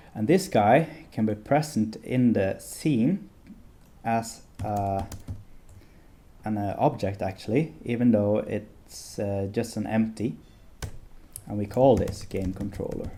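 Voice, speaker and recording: With long, frequent pauses, a man speaks very slowly in a fairly low pitch and a dark, mellow tone. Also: ordinary pitch variation. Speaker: game development tutorial creator. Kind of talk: tutorial. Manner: hesitant, many filler sounds; occasionally slurred words.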